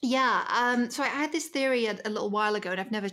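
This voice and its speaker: A woman with a British accent, a bright, sharp tone, very fast delivery and ordinary pitch variation. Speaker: media strategist. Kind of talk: casual chat.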